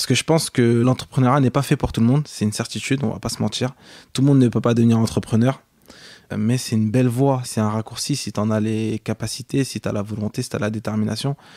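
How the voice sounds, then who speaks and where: This man talks at a very fast pace. His medium-pitched voice has a dark, mellow tone. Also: fairly even intonation. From France, Cergy-Pontoise, Senegalese family. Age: 20s. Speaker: entrepreneur. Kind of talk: interview. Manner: hesitant, many fillers.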